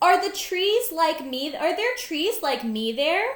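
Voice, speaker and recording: A woman in a put-on character voice, extremely high in pitch, at a fairly slow pace. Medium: read story. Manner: soft, wondering.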